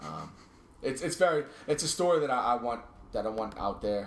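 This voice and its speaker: Room echo is audible. The intonation is lively. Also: man. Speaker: podcast host. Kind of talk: casual chat. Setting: home basement studio. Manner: halting, repeats words.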